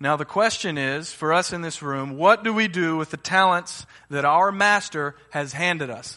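An ordinary speaking voice, a man's, fairly high in pitch with an American accent, ordinary pitch variation, moderate pace, hardly any pauses and a quiet background. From Uganda (raised by American parents). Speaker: guest preacher. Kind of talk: sermon. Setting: church.

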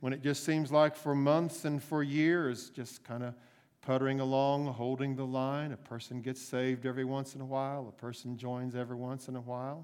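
At a moderate pace, a man talks in an ordinary speaking voice, fairly high-pitched, with fairly even intonation. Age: 60s. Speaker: pastor. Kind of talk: sermon. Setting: church.

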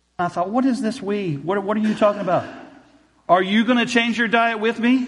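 A man talks at a moderate pace, and audible room echo trails his voice. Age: 40s. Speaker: pastor. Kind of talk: sermon. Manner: halting.

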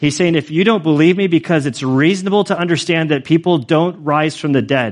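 In a normal speaking voice, a man talks at a fairly quick pace with a fairly high pitch and ordinary pitch variation against a quiet background. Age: 40s. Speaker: pastor. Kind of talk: sermon. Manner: casual, conversational.

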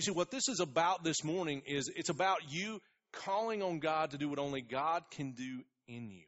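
A man in an ordinary speaking voice, fairly high-pitched, at a moderate pace with lively intonation. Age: 40s. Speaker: pastor. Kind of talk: sermon.

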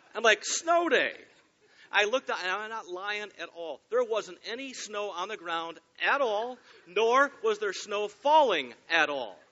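With a Michigan accent, a man speaks in a high pitch with lively intonation. His pace is fairly slow, and his loudness swings a lot. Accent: US Midwest (Michigan). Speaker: pastor. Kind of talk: sermon. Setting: church.

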